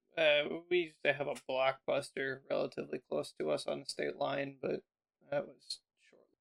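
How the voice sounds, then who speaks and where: A man at a moderate pace, big swings in loudness, dry, close sound with no echo. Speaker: tech podcast co-host. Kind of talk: casual chat. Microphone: Blue Yeti Nano microphone.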